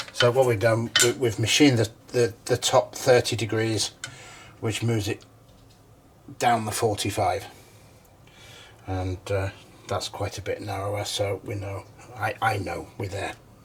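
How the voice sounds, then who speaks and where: A man's mumbling, somewhat breathy voice at a fairly slow pace and fairly low pitch, with fairly even intonation and long, frequent pauses. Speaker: hobby machinist. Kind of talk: tutorial. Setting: home workshop. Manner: halting.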